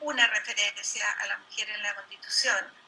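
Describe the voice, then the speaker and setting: Ordinary pitch variation from a woman, with noticeable background noise. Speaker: political candidate. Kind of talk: debate.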